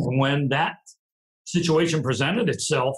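This is an unremarkable speaking voice, moving along at a moderate pace. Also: man. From US small town. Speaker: retired marine sergeant major. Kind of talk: interview conversation. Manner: reflective storyteller.

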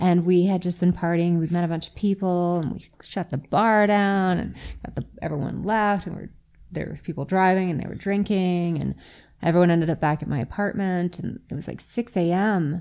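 A woman with a Canadian accent speaks at a fairly quick pace in a fairly low voice, her tone dark and mellow and her intonation fairly even, on a very clean recording with a silent background. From Yellowknife, Northwest Territories, Canada. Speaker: interview guest, friend in recovery. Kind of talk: casual interview chat. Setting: studio with microphones.

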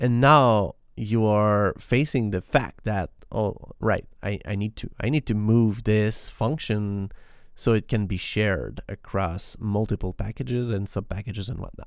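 In a very clean recording with a silent background, a man with a Quebec accent speaks at a fairly slow pace, his fairly low pitch showing ordinary variation. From Quebec, Canada. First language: French. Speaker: podcast host and software developer. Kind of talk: solo scripted-casual podcast monologue. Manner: halting, with frequent fillers and repeated words.

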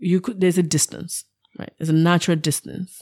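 A woman speaks at a fairly quick pace in a dark, mellow tone, her voice recorded dry and close with no echo. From Nigeria. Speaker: startup founder. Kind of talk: casual interview.

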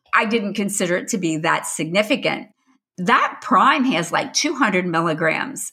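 At a fairly slow pace, a woman speaks with lively intonation. Her pitch is medium. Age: 60s. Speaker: food safety trainer and podcast co-host. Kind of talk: casual chat.

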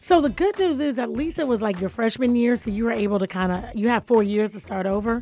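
A woman's animated, lively-intoned speech at a very fast pace with hardly any pauses. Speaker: radio talk show host. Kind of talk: live radio show, casual chat and interview. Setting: radio studio. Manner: animated, laughs often.

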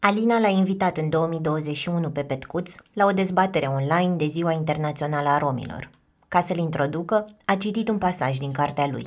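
A woman with an ordinary speaking voice talks at a fairly low pitch and a moderate pace, with ordinary pitch variation. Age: 30s. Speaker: podcast host and narrator. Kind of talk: scripted narration.

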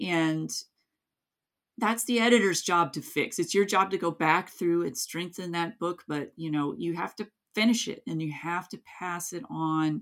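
The woman speaks with lively intonation at a moderate pace. Her pitch sits in the medium range. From US South, East Tennessee (Kingsport area). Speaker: author. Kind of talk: interview.

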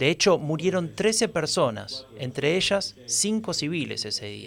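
Speaking at a fairly slow pace, a man uses lively intonation and vocal fry. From Buenos Aires, Argentina. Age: 40s. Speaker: podcast host. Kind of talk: scripted narration.

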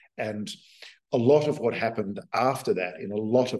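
A man with an Australian accent at medium pitch and a moderate pace. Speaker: author. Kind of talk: interview conversation.

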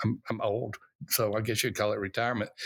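A man talks at a fairly quick pace in a Southern US accent. The recording is very clean with a silent background. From US South, Alabama. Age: old. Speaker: pastor and church consultant, author. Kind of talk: interview.

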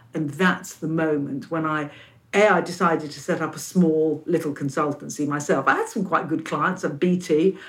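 Fairly even intonation with a London accent. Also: woman, very deep, low pitch for a woman, moderate pace. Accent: British English, London. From London, England. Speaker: opera company leader. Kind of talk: interview.

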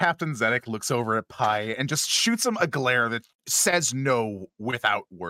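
Against a quiet background, someone does plain reading aloud with lively intonation.

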